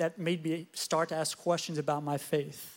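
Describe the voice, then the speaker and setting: Here a man with a normal speaking voice, fairly high in pitch, talks at a moderate pace with fairly even intonation on a very clean recording with a silent background. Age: 20s. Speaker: church staff member. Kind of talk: testimony.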